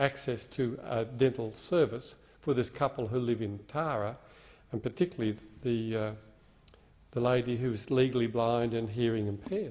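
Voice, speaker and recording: A man with an Australian accent, medium pitch, ordinary pitch variation and moderate pace. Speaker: member of parliament. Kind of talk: parliamentary speech. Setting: parliament chamber.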